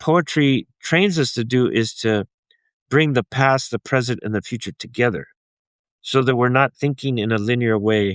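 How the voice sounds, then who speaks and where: This man talks at a medium pitch with ordinary pitch variation. The recording is very clean and dry, close with no echo, over a silent background. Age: 60s. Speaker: writer and attorney. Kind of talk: interview. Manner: halting.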